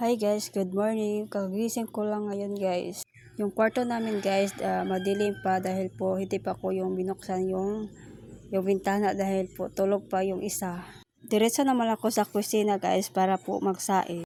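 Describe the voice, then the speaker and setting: In a dark, mellow tone, a woman speaks with monotone, flat intonation. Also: medium pitch for a woman, moderate pace. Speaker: vlogger. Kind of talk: vlog voice-over. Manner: halting.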